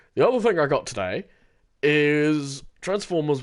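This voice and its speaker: The speech moves at a moderate pace with very wide pitch swings, set against a quiet background. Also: man. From Britain. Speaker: gaming streamer. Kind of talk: casual chat. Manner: halting, many fillers.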